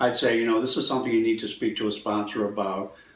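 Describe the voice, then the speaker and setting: A man talks very fast at a medium pitch, his intonation monotone and flat, with audible echo from the room. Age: 70s. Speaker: healer. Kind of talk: interview.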